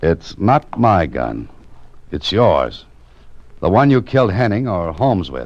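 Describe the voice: A man uses a put-on character voice pitched low, with big pitch swings. He speaks at a slow pace.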